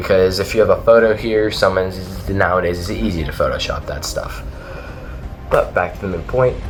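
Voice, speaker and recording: A man is speaking with music in the background. There is audible echo from the room. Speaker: ghost hunting YouTuber. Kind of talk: casual video commentary. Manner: halting; fast.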